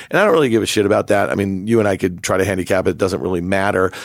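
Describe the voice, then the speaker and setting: Over a silent background in a very clean recording, a man with an American accent and a fairly low voice talks at a very fast pace. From New York. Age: 40s. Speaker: podcast host, market commentator. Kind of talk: casual interview chat.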